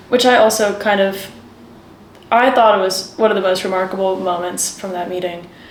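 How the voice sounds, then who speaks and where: A woman with an American accent talks at a fairly quick pace with ordinary pitch variation, amid audible room echo and noticeable background noise. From Washington, D.C., US. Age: 20s. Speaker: aid worker at a children's charity. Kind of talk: interview.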